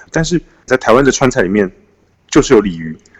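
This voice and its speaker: Dry and close with no echo, the speech comes in a Taiwanese accent at a moderate pace, with very wide pitch swings. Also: man. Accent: Taiwanese Mandarin. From Taiwan, Taipei. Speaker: author. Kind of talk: interview.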